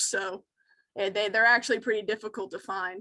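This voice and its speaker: A woman speaks with a bright, sharp tone. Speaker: wildlife educator. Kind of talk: educational webinar Q&A.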